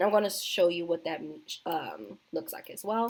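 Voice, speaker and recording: The intonation here is lively. The speaker is a woman. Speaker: video tutorial creator. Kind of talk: tutorial. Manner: fast; casual, many fillers.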